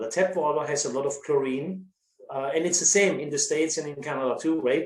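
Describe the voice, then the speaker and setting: This man has a strong German accent. His pitch sits fairly high. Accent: thick German. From Germany. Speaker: winery sales director. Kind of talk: casual chat. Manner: halting.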